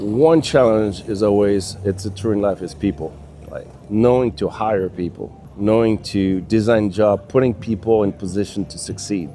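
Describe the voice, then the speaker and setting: A man with a French accent talks at a moderate pace and fairly low pitch with ordinary pitch variation. Music plays in the background. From France. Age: 60s. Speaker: business consultant. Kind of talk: casual chat.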